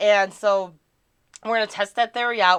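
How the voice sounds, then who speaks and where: Against a quiet background, a woman speaks at medium pitch with an American accent. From Wisconsin, US Midwest. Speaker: live streamer. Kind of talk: casual live stream chat. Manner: animated.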